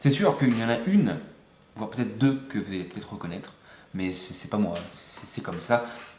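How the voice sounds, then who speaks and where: With audible room echo, a man at medium pitch speaks at a fairly quick pace. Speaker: YouTuber, music maker. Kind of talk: casual vlog talk. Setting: close to camera, home video. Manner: fast; hesitant, many fillers.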